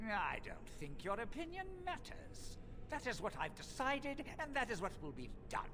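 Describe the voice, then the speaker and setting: A put-on character voice speaks at a high pitch and moderate pace. Loud background noise runs underneath. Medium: video game. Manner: arrogant, menacing.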